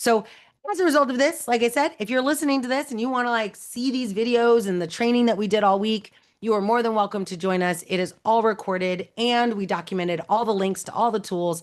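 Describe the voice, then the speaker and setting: Against a quiet background, a woman speaks at a fairly high pitch in an animated tone. Her pace is fairly quick and her pitch varies in an ordinary way. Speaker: AI trainer hosting a live online session. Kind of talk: live webinar presentation. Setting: video call. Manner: fast.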